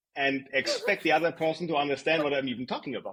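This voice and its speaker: A man speaks with a German accent. His intonation is lively. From Germany. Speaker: design executive. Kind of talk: interview. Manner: conversational with fillers and repetitions.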